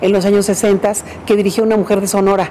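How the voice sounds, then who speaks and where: A woman is speaking. Light background noise sits behind her. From Mexico, Parral, Chihuahua. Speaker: museum director. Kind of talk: interview. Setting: museum director's workplace. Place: home room.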